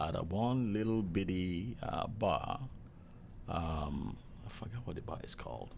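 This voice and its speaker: Lively intonation and vocal fry, with a Nigerian accent. The room echo is audible. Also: man. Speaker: hotel chef. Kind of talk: casual interview.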